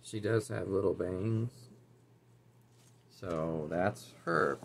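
Over light background noise, a man speaks very slowly in a very deep, low voice with vocal fry and lively intonation. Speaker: doll collector YouTuber. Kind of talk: casual haul review. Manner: casual, chatty. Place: home room. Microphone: webcam.

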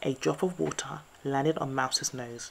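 A woman speaks at a fairly slow pace, her pitch extremely low, with vocal fry. Her intonation stays fairly even.

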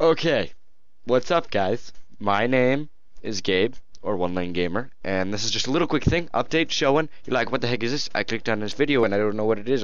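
Against a quiet background, a man talks at a fairly quick pace with ordinary pitch variation, and the sound is dry with no echo. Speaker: gaming channel host. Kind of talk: casual vlog chat. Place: home room. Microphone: headset.

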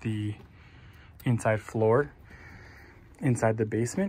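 Moderate-paced speech from a somewhat breathy man, with ordinary pitch variation. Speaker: building contractor. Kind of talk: tutorial. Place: street. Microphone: phone near.

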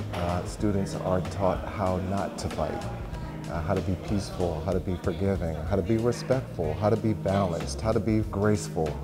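Clear music in the background behind a man speaking at a moderate pace. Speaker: karate instructor. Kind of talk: interview answer. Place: gym.

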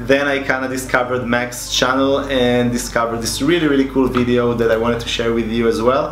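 Noticeable background noise sits behind a man's voice. He speaks at a fairly quick pace with monotone, flat intonation. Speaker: illustrator youtuber. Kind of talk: casual vlog chat. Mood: relaxed, amused. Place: home room.

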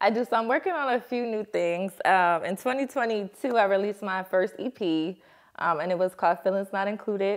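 Against a quiet background, a woman talks at a fairly quick pace. Her pitch variation is ordinary. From New Jersey, Newark. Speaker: singer. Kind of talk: casual chat. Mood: cheerful, playful. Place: studio.

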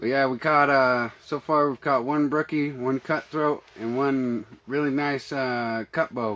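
A man speaks at a fairly slow pace with a fairly bright tone. His intonation stays fairly even.

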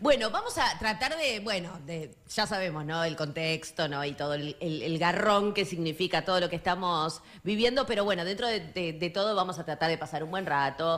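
Moderate-paced speech from a woman with hardly any pauses, a fairly low pitch, ordinary pitch variation and a Rioplatense accent. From Argentina, La Matanza (Catán). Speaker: radio host. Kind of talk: radio interview. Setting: radio studio.

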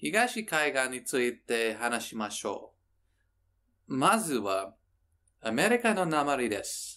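On a very clean recording with a silent background, the voice moves very slowly with long, frequent pauses, a bright, sharp tone and very wide pitch swings. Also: man, medium pitch for a man. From New York State. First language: English (speaking Japanese). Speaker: Japanese language learner vlogger. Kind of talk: reading aloud a diary. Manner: halting non-native Japanese.

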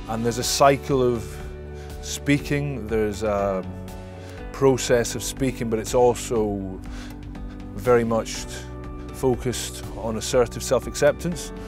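Clear music plays in the background as a man with a fairly low pitch and very wide pitch swings speaks at a fairly slow pace with long, frequent pauses, in a dry sound with no echo. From Scotland. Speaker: former professional rugby player. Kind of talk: interview answer. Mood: open, reflective, relaxed. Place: garden.

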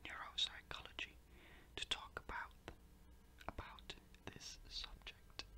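A man is whispering. He goes at a very slow pace. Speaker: ASMR creator. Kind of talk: ASMR educational talk. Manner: whispered.

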